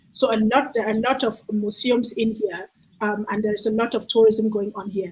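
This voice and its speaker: A woman speaks with a somewhat breathy, fairly high voice and fairly even intonation. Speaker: children's book author presenting her book. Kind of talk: book presentation on a video call. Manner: fast; halting, stutters.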